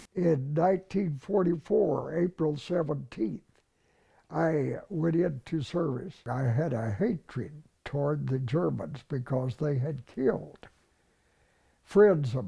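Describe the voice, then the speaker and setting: Very slow and somewhat breathy, a man speaks at a fairly high pitch with lively intonation and a dark, mellow tone. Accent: American. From Texas. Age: 90s. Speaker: war veteran. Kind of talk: interview.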